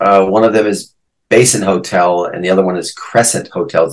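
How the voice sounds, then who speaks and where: A man speaks at a moderate pace in a plain, everyday voice. His pitch sits fairly low. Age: 60s. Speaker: guitarist. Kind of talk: casual interview chat.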